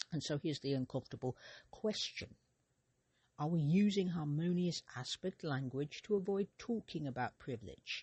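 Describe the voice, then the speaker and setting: A soft-spoken voice delivered at a moderate pace. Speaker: astrology podcast host. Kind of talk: solo podcast monologue.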